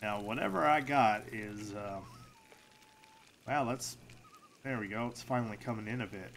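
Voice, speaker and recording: With noticeable background noise behind him, a man speaks at a moderate pace in a fairly low voice, keeping his intonation fairly even. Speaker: gaming streamer. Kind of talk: gameplay commentary. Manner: casual, halting with fillers.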